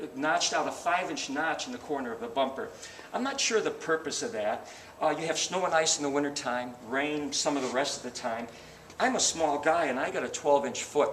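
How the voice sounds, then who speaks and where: With noticeable background noise and audible room echo, a man talks at a fairly quick pace and fairly high pitch. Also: lively intonation. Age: 60s. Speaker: car salesman. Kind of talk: sales pitch. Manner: animated.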